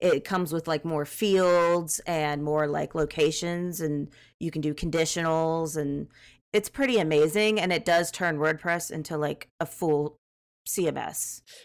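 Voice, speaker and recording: Recorded very cleanly against a silent background, a normal speaking voice with an American accent moves at a fairly slow pace with fairly even intonation. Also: woman, fairly low pitch for a woman. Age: 30s. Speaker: frontend developer. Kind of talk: casual chat.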